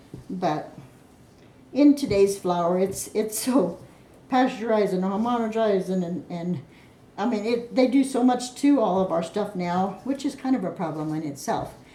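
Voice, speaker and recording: A woman speaks with lively intonation. There is audible room echo and noticeable background noise. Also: medium pitch for a woman, moderate pace. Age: 60s. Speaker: home cook. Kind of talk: cooking tutorial. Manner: casual, meandering.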